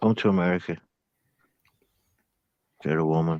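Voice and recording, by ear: Ordinary pitch variation and a slightly mellow tone, in a dry, close sound with no echo. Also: man.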